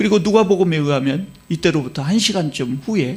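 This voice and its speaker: With a Jeolla accent, a man speaks in a somewhat breathy voice at a fairly quick pace, with lively intonation. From Korea, Jeolla province. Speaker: pastor. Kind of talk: sermon. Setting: church.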